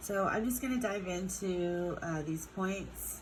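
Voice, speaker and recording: Fairly slow female speech in a room with audible echo. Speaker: chemistry teacher. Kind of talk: lecture. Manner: casual, hesitant with fillers.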